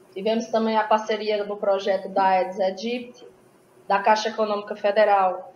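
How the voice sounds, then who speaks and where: Speaking at a moderate pace, a woman has an unremarkable speaking voice with a fairly high pitch. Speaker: school director and environmental educator. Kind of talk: conference talk.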